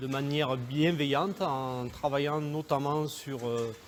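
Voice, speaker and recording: Speaking at a very slow pace, a man uses fairly even intonation at a fairly high pitch. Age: 40s. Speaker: goat farmer. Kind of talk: interview. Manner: hesitant, many fillers.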